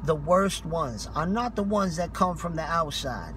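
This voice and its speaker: A man talks at a moderate pace. Noticeable background noise comes through, and the sound is dry with no echo. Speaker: street preacher. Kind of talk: street preaching rebuttal, impassioned sermon. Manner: forceful, passionate, confrontational. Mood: indignant, scolding. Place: car. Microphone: phone near.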